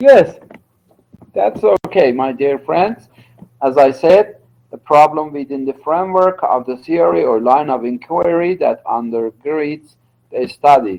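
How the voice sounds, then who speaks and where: Man with a Turkish accent, fairly high pitch and lively intonation, at a fairly slow pace. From Iran, Turkish-speaking region. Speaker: university lecturer. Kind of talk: lecture. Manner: halting, many fillers.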